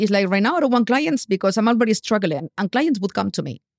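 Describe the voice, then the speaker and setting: Speaking very fast with lively intonation, a woman with a fairly high voice is heard in a very clean recording against a silent background, the sound dry and close with no echo. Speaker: photographer and YouTube educator, podcast guest. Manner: fast talker.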